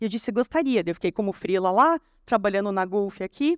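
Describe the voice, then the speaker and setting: A woman at a very fast pace with lively intonation, dry sound with no echo, and a quiet background. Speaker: copywriter and conference speaker; conference speaker. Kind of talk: conference talk. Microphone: handheld.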